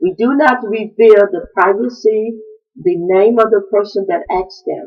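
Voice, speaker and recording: This woman speaks at a fairly slow pace with lively intonation. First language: African language, not English. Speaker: traditional queen mother answering questions. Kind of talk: video address answering viewer questions. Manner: halting, with fillers.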